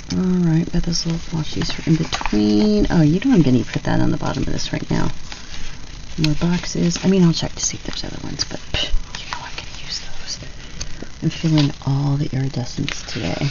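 At a fairly quick pace, a woman speaks in a whisper. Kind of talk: casual crafting tutorial chat. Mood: cheerful, relaxed.

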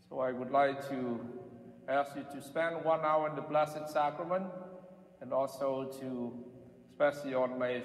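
A man at a moderate pace with fairly even intonation, amid audible room echo. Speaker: priest. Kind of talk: prayer and address to the congregation. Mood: solemn, calm. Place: church.

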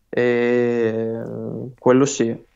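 A man with a medium-pitched voice speaks against a quiet background. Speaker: professional tennis player. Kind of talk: interview.

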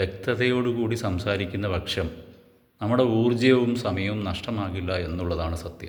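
A somewhat breathy man speaks at a fairly low pitch with ordinary pitch variation amid audible room echo. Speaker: YouTuber. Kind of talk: monologue. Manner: halting.

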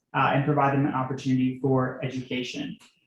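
A man talks at a very fast pace. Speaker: transportation planner presenting to town board. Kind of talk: presentation at public meeting. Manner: filler-heavy, um and uh.

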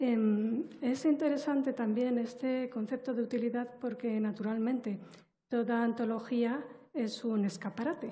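This woman has a high pitch and a dark, mellow tone. Her loudness stays very even at a fairly slow pace. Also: fairly even intonation. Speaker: literature professor and poet; literature professor, poet. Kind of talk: academic commentary; panel talk on a book. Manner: formal, articulate. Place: hall. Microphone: headset.

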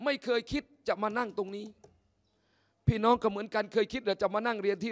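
The setting is quiet. A man talks, his pitch moving in an ordinary way. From Thailand. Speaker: Islamic teacher. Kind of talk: sermon. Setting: mosque. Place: hall. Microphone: podium.

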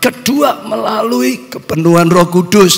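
A man speaks at a very slow pace. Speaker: preacher. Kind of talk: sermon. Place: church. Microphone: handheld.

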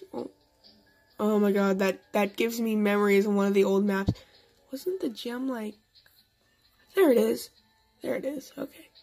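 Over music in the background, a woman talks at a moderate pace and medium pitch, with ordinary pitch variation and long, frequent pauses. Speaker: gaming youtuber. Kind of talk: gameplay commentary. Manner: hesitant, many fillers.

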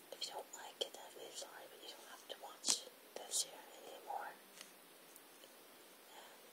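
A woman whispers, with long, frequent pauses and big swings in loudness. Noticeable background noise runs underneath. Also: moderate pace. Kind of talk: ASMR whisper talk to camera. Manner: whispered.

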